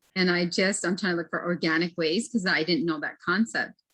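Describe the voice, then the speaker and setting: Speaking with an American accent, a woman has a fairly low pitch with ordinary variation. The background is quiet. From US Great Plains, Pine Ridge reservation, South Dakota. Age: 40s. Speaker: academic advisor and guest speaker. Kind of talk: panel discussion on video call.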